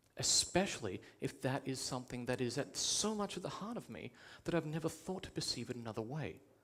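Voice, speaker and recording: A man speaks with an Australian accent at a medium pitch. His pace is moderate. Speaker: public education coordinator. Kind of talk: TEDx talk.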